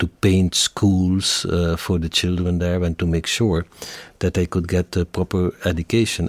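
A man with a Flemish accent speaks in a very deep, low pitch, in a dry, close sound with no echo. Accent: Flemish Dutch. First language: Dutch. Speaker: company executive. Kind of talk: interview.

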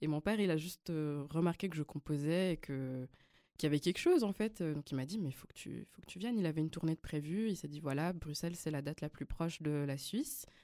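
On a very clean recording with a silent background, a woman with a very deep, low pitch and a dark, mellow tone talks at a fairly quick pace with ordinary pitch variation, in a dry, close sound with no echo. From Switzerland, Lausanne. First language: Flemish (speaking French). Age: 20s. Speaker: singer and pianist. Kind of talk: interview.

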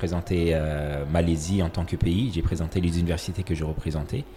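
A man's very deep, low voice at a moderate pace. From Comoros. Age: 30s. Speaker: architect and education entrepreneur. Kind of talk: interview conversation. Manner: halting, many repetitions.

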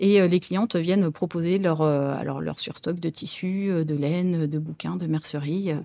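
At a fairly slow pace and with hardly any pauses, a woman speaks in a dark, mellow tone at a fairly low pitch, her intonation fairly even. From Île-de-France (Brie, rural east of Paris). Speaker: marketing director. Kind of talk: interview. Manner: hesitant, with fillers and repetitions.

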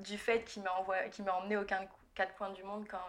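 This is a woman at a medium pitch. She speaks at a moderate pace. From France, Burgundy. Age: 20s. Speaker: digital marketing entrepreneur. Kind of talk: interview.

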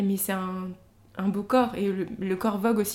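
The woman's voice has a dark, mellow tone and comes out somewhat breathy. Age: young. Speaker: painter. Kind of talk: casual interview chat.

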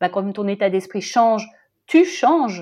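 Against a quiet background, a woman with a dark, mellow tone speaks at a fairly high pitch with lively intonation. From Brussels, Belgium. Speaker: journalist and coach. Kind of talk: interview. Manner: animated.

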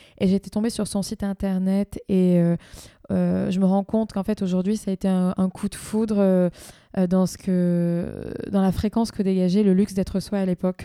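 At a moderate pace, a woman speaks with a dark, mellow tone and medium pitch in a monotone, flat intonation. The recording is very clean, with a silent background and a dry, close sound with no echo. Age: young. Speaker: entrepreneur. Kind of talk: casual conversation.

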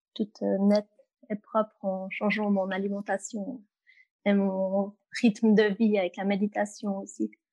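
Her tone dark and mellow, a woman speaks at a fairly slow pace and a medium pitch, in a dry, close sound with no echo. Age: 20s. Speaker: customer sharing her experience, works in human resources. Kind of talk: interview. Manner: hesitant, frequent fillers.

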